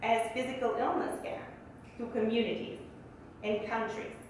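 The speaker has a Bulgarian accent and keeps a moderate pace. The room echo is strong, with light background noise. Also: woman. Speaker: economist. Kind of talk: speech. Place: hall.

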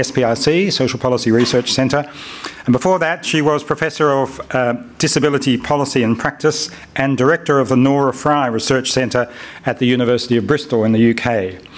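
With noticeable background noise, a man speaks fairly quickly at a medium pitch, showing ordinary pitch variation and very even loudness. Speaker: conference chair. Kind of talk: event introduction. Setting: stage with audience.

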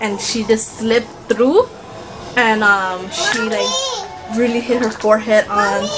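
A woman talks at a fairly slow pace with clear music in the background. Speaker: mother vlogger. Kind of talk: casual vlog chat. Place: home room. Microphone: phone near.

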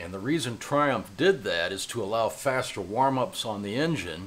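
The voice belongs to a man. He talks neither fast nor slow, at a moderate pace. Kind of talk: tutorial. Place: garage.

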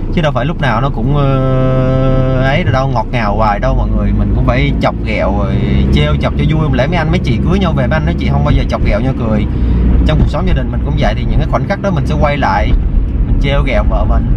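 A man talks at a very fast pace over loud background noise, the sound dry with no echo. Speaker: vlogger. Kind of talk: casual vlog chat. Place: car. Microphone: phone near.

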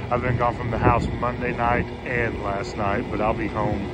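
A man's voice sounds dry with no echo against loud background noise. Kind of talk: casual vlog chat. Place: open country. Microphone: headset.

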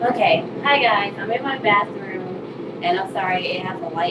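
Loud background noise sits under a woman speaking with ordinary pitch variation. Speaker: hair vlogger. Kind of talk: casual tutorial. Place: bathroom. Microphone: webcam.

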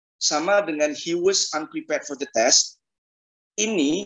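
A man talks, and the background is quiet. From Indonesia. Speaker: English test tutor. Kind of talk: online class. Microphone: video call.

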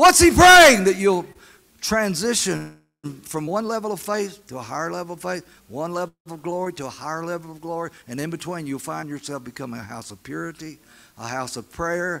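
A man's high, bright, sharp voice with lively intonation, a fairly quick pace and big swings in loudness. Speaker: preacher. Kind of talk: sermon. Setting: church meeting with audience. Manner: crowd-engaging, exhorting. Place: church. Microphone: handheld.

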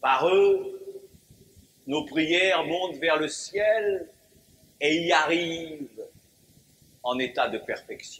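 A man talks at a very slow pace in a solemn tone, with long, frequent pauses. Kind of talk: sermon. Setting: church. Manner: formal, solemn, measured pulpit delivery with rhetorical emphasis; didactic, occasionally wry, rising into a fervent refrain on the repeated cry.

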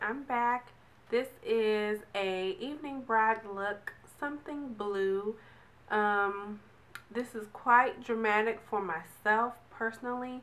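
Very slow speech from a woman, fairly high in pitch, its pitch varying in an ordinary way. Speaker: beauty vlogger. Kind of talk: casual talk to camera. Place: home room. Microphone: phone near.

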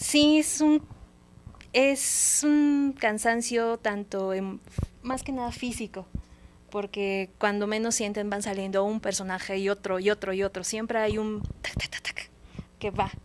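A woman talks at a fairly slow pace with ordinary pitch variation. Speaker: guest. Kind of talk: interview answer. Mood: friendly, animated. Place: studio. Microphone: handheld.

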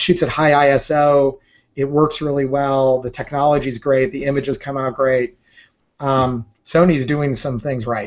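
A man is speaking at a moderate pace. His intonation stays fairly even. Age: 40s. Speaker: entrepreneur and photographer; interview guest. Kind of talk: interview. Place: home room. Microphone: video call.

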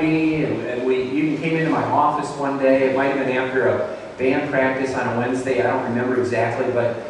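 A man speaks with strong room echo. Light background noise can be heard. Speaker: pastor hosting testimony. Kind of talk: interview introduction in church service. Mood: warm, earnest. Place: church.

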